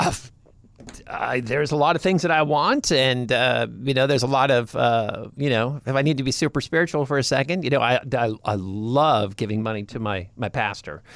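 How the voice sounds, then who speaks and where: With an American accent and a plain, everyday voice, a man talks at a fairly quick pace and medium pitch, his pitch varying in an ordinary way. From California. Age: 50s. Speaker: podcast co-host. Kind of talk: casual chat.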